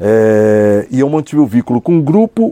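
A man with a São Paulo accent has a dark, mellow tone and very wide pitch swings. The sound is dry and close with no echo. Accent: São Paulo Brazilian Portuguese. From São Paulo, Brazil (south zone). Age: 50s. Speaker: businessman, cultural incentive projects. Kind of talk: interview. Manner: halting, many repetitions.

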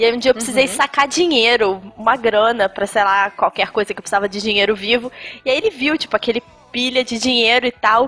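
Woman at a fairly high pitch and very fast pace, dry and close with no echo, amid noticeable background noise. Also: ordinary pitch variation. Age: 20s. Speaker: personal finance expert. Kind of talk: casual chat.

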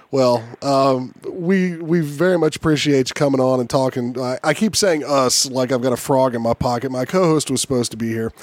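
Noticeable background noise sits behind a man at medium pitch. He talks at a fairly quick pace with hardly any pauses. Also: ordinary pitch variation. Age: 40s. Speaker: podcast host and martial artist. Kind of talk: casual chat and interview. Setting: studio.

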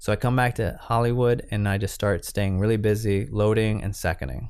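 Against a quiet background, a man with a fairly low pitch and ordinary pitch variation speaks in an ordinary speaking voice. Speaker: cinematographer and camera assistant. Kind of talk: interview.

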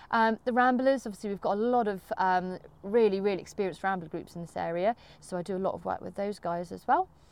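At a very fast pace, a woman speaks with medium pitch and ordinary pitch variation. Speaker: co-host and community engagement ranger. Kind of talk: interview for a podcast.

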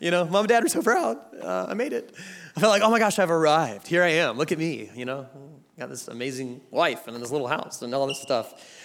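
A man with an American accent speaks at a fairly quick pace. His fairly high pitch moves in very wide swings. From US South, Georgia. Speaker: guest preacher. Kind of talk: sermon. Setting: church stage with audience. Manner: animated.

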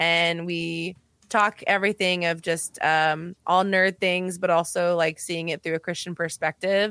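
With a bright, sharp tone and fairly low pitch, a woman speaks at a moderate pace in a dry, close sound with no echo, on a very clean recording with a silent background. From El Paso, Texas, US-Mexico border. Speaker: podcast guest, podcaster. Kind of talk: casual chat.

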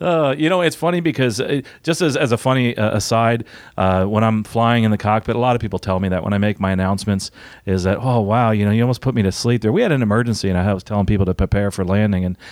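A man talks fast at a fairly low pitch. His tone is slightly mellow, with ordinary pitch variation.

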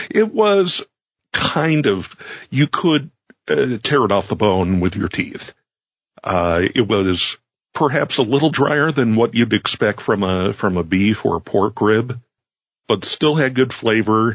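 A man with a normal speaking voice, medium in pitch, at a fairly slow pace, with lively intonation and very even loudness. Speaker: producer, occasional co-host. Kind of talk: casual chat.

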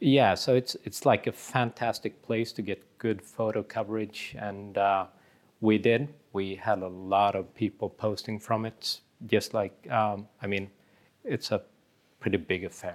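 A man with a Swedish accent, fairly low in pitch and fairly even in intonation, at a fairly slow pace, on a very clean recording with a silent background. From Sweden. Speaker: magazine editor. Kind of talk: casual chat over drinks.

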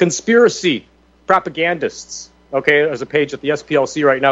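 With a plain, everyday voice, a man speaks at a moderate pace in a fairly high pitch with ordinary pitch variation. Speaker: radio talk show host. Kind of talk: talk radio roundtable.

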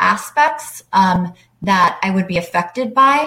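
With an American accent and a normal speaking voice, a woman speaks at a medium pitch and a fairly slow pace with lively intonation. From US South. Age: 30s. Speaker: person living with MS. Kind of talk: interview.

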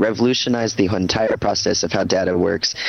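A man with a fairly low voice and ordinary pitch variation talks as noticeable noise plays behind him. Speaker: podcast co-host.

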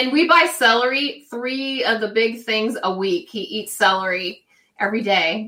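Her tone bright and sharp, a woman talks at a moderate pace with fairly high pitch and lively intonation. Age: middle-aged. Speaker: webcam model. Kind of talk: casual interview chat.

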